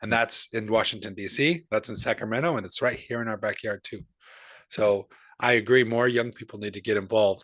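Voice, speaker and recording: A man with an ordinary speaking voice talks at a fairly quick pace and medium pitch, with fairly even intonation. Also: quiet background. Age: 40s. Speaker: podcast host. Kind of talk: interview conversation.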